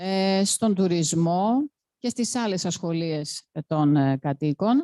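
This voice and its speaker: Speaking at a fairly slow pace, a woman with a fairly low pitch and a dark, mellow tone sounds dry and close, with no echo. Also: lively intonation. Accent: Greek. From Greece. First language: Greek. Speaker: panel speaker, activist. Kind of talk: panel talk. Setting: panel event with audience.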